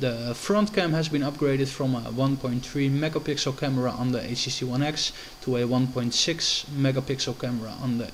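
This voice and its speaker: Noticeable background noise sits behind a man talking at a fairly quick pace. He leaves hardly any pauses. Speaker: tech reviewer. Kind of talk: product review. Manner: hesitant, many fillers.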